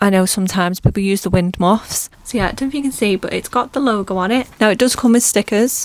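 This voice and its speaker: Soft-spoken and medium in pitch, a woman with a British accent talks with ordinary pitch variation in a dry, close recording with no echo. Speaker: small business owner and vlogger. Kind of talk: product review vlog. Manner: casual.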